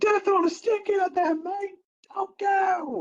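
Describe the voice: Squeaky and extremely high-pitched, this put-on character voice in an Australian accent moves at a fairly slow pace.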